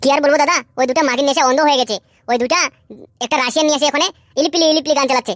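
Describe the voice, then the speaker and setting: A woman performs a cartoonish character voice, high and very fast, with ordinary pitch variation, very even loudness and a dry, close sound with no echo. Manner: brash, crude.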